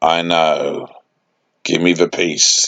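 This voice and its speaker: A put-on character voice from a man, raspy and very deep and low in pitch. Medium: read story. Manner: terse, authoritative.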